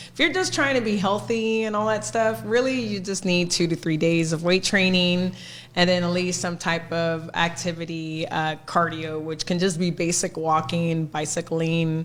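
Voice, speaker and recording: Speaking at a moderate pace with hardly any pauses, a woman with an American accent uses a fairly low pitch and ordinary pitch variation. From Texas, McAllen (Rio Grande Valley). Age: 40s. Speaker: personal trainer. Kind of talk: casual chat.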